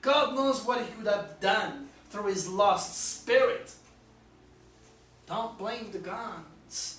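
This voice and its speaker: A man with an extremely high pitch speaks at a very slow pace with ordinary pitch variation and long, frequent pauses, over noticeable background noise and audible room echo. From France. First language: French. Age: 60s. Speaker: astrologer. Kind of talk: video monologue. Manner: animated.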